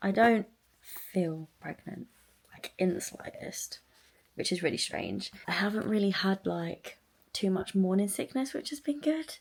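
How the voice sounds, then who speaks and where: A woman speaks quietly at a fairly slow pace. Her intonation is lively. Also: medium pitch for a woman. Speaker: vlogger. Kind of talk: video diary vlog. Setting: outdoors by the seafront. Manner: quiet, hushed.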